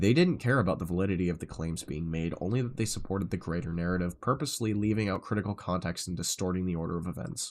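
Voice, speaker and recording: A man rattles off his words at a very fast pace, his pitch varying in an ordinary way. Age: 20s. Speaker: live streamer. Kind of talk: reading aloud with commentary on a live stream. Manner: casual, reactive asides between read passages.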